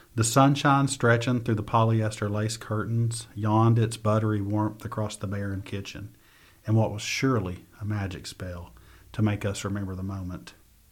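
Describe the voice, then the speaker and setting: Somewhat breathy and fairly low, a man's voice moves at a moderate pace with fairly even intonation. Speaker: poet and teacher. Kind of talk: poem performed, reading own verse aloud. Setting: studio. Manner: vivid, lyrical, measured storytelling cadence.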